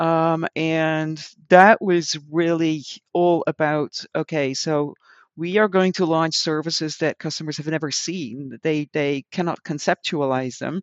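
Fairly slow delivery in a Dutch accent, with fairly even intonation. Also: woman, very deep, low pitch for a woman. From Netherlands. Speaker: customer experience consultant and author. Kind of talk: casual interview conversation.

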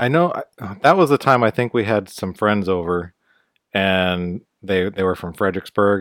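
In an ordinary speaking voice with an American accent, a man talks at a moderate pace and a fairly low pitch with ordinary pitch variation, the sound dry and close with no echo on a very clean recording with a silent background. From US. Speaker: podcast co-host. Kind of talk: casual chat. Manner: laid-back, joking.

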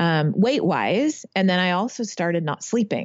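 A woman with an American accent uses an ordinary speaking voice at a fairly low pitch. She talks at a fairly slow pace with lively intonation. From Northern California. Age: 50s. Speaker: masters rower. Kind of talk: interview.

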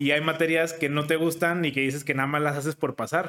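With a plain, everyday voice, a man speaks fairly quickly at a fairly high pitch and with ordinary pitch variation. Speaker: podcast host. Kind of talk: casual interview.

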